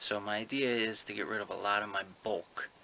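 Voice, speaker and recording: The man speaks at a fairly low pitch. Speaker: pokemon card seller and collector. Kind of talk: casual vlog. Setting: at home. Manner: quiet, lowered voice.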